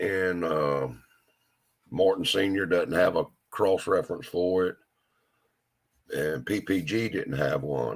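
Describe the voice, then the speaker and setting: A man's very deep, low voice with a Southern US accent, very slow pace, ordinary pitch variation, and long, frequent pauses. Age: 60s. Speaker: hot rod shop owner. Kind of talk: casual chat.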